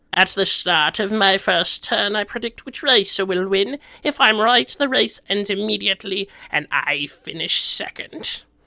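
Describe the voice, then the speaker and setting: A man's cartoonish character voice, high-pitched, at a moderate pace. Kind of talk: cartoon voice acting. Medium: solo performance.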